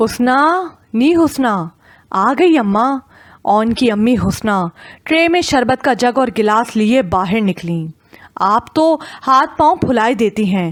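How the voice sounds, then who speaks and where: A woman's fairly high, normal speaking voice with lively intonation and very even loudness. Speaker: audiobook narrator. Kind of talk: audio drama novel narration.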